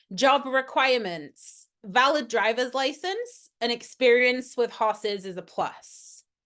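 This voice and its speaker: A high-pitched woman's voice with lively intonation against a quiet background. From UK. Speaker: veterinarian. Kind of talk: lecture. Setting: webinar.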